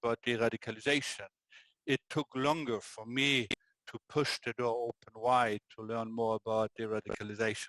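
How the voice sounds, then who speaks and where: A man with a German accent talks at a moderate pace. His loudness swings widely, and the sound is dry and close with no echo. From Germany. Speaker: prison governor. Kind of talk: interview.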